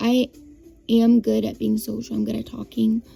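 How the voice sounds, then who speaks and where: Music plays behind the voice. It belongs to a woman. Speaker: vlogger. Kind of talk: casual vlog monologue. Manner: halting, many fillers and restarts.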